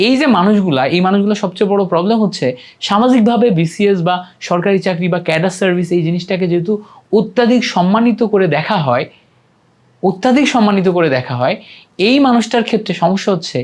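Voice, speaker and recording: His voice high in pitch, a man speaks with lively intonation and very even loudness. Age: 20s. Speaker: YouTube educator, university student. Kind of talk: vlog monologue, career advice.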